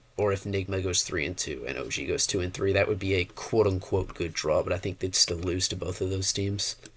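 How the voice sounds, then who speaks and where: A man's very deep, low pitch, somewhat breathy, at a fairly quick pace. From United States. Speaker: esports commentator YouTuber. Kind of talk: casual solo commentary video. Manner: casual, halting with repetitions.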